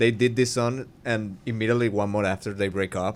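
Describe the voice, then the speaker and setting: The speaker has a Spanish accent and a moderate pace. Background noise is noticeable. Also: man. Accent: Spanish-speaking. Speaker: podcaster. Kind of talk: casual chat. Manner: halting.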